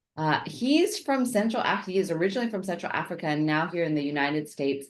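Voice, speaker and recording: A woman talks at a very fast pace in a fairly low pitch, her intonation lively. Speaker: podcast host. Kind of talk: podcast interview questions.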